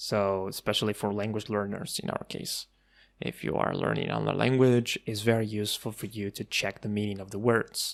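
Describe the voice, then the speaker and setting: A man with a fairly low voice talks at a fairly quick pace and fairly even intonation on a very clean recording with a silent background. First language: Arabic. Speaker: tech tutorial youtuber. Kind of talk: tutorial.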